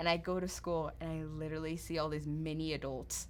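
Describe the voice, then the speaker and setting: With an American accent, a woman speaks at a moderate pace. Audible room echo can be heard. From Nigeria. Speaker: podcast host, nurse. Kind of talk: casual chat. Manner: animated.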